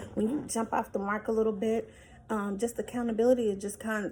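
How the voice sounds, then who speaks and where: This woman's voice is pitched fairly high. It is somewhat breathy. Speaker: motivational vlogger. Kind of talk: motivational talk. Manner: casual, many fillers.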